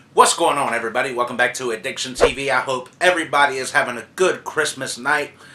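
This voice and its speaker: A man is speaking. Background noise is noticeable. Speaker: YouTube movie reviewer. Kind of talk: casual vlog monologue.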